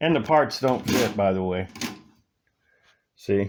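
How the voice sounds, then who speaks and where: At a very slow pace, a man talks in a fairly low pitch. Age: 60s. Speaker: scale model builder and reviewer. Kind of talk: casual product review, unboxing.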